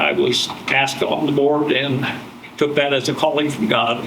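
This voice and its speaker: The speech comes at a moderate pace. Audible room echo and noticeable background noise are present. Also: man. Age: 70s. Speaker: former school board member. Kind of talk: lecture. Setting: classroom with audience, no microphone. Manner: loud. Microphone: not mic'd, may be quiet.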